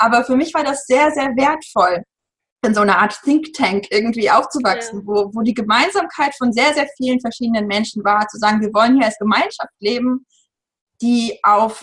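Her pitch is fairly high and varies in an ordinary way. This woman uses a normal speaking voice at a moderate pace. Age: 30s. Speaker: journalist and author on parenting. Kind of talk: interview.

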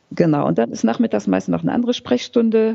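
A woman speaks with very wide pitch swings over noticeable background noise. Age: 50s. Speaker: physician for homeless people. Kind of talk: interview.

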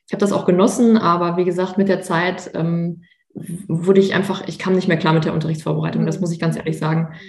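A woman speaks very fast in a fairly low, monotone voice with flat intonation. Room echo is audible. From Münster, western Germany. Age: 30s. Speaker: former trainee teacher, Instagram creator. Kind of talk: interview.

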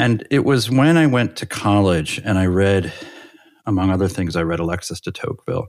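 Lively in intonation, a man with a fairly low pitch speaks at a fairly quick pace. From New England, US (near Hartford, Connecticut). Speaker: political science professor. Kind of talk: interview conversation. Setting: remote call. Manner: halting, many fillers.

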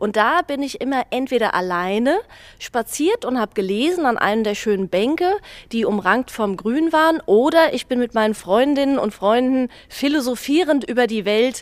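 Lively intonation and a moderate pace come through in a dry, close sound with no echo. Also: woman, high pitch for a woman. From Mainz old town. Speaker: dance school owner. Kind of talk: interview reminiscence.

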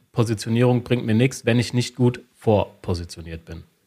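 This is a man with a plain, everyday voice. He speaks at a medium pitch and a moderate pace. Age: 30s. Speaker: sales psychology lecturer and consultant. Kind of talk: interview.

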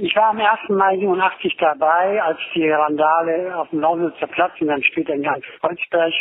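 Noticeable background noise around a high-pitched man speaking at a fairly slow pace, his pitch variation ordinary. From Berlin. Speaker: former autonomous left activist. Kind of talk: voice message testimony. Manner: halting.

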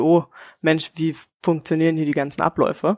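With dry, close sound and no echo, a woman speaks at a moderate pace in a very deep, low voice. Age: 20s. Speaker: air traffic controller. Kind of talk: casual chat.

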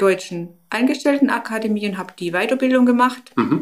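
An ordinary speaking voice from a woman, with ordinary pitch variation and a moderate pace. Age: 50s. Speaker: stoma nurse. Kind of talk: interview.

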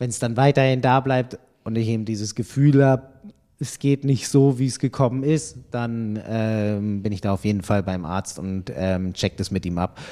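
A man's dark, mellow voice at a medium pitch with ordinary pitch variation. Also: moderate pace. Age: 30s. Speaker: triathlon magazine editor. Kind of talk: casual chat.

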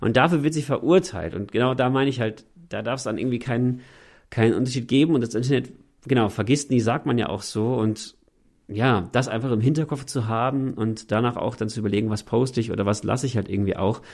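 Talking at a very fast pace, a man uses a medium pitch with ordinary pitch variation in a very clean recording with a silent background. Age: 30s. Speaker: youth ministry worker and gamer. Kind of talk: casual chat.

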